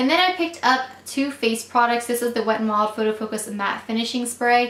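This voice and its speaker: A woman speaks at a fairly quick pace in a high voice, with noticeable background noise and audible room echo. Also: ordinary pitch variation. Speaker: beauty vlogger. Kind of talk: product haul review. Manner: fast; casual, filler-heavy.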